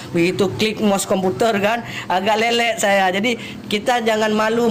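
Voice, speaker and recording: With noticeable background noise and audible room echo, a man speaks in an Aceh accent. His high voice keeps a fairly even intonation at a moderate pace. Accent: Acehnese. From Aceh, Indonesia. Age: 30s. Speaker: police officer. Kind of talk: live stream chat.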